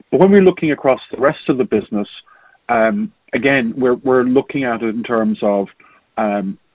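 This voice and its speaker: Dry, close recording of a medium-pitched man with an Irish accent and very wide pitch swings, no echo. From Ireland. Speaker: registrar company owner, panelist. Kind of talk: webinar presentation. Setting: webinar. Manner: fast.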